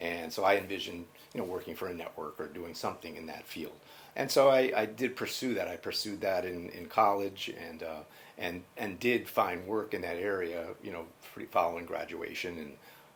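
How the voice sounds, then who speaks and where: A man with a very deep, low voice speaks in a US Northeastern accent. His pace is moderate, and his loudness swings widely. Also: ordinary pitch variation. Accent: US Northeast. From Connecticut, US Northeast. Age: 60s. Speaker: college IT project manager. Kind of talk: oral history interview. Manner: halting, many fillers.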